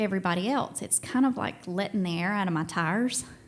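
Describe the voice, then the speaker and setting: A Southern US accent, ordinary pitch variation, and audible room echo. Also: woman. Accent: Southern US, played up on stage. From Tennessee and Georgia, US South. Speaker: storyteller. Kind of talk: live storytelling. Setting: stage with audience. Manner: casual, animated.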